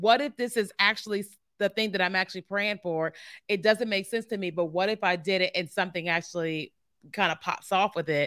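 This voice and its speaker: A woman's ordinary speaking voice, medium in pitch with ordinary pitch variation, at a fairly quick pace, dry and close with no echo on a very clean recording with a silent background. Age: 40s. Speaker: marketing consultant and entrepreneur. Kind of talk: casual interview. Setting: recorded video podcast streamed live.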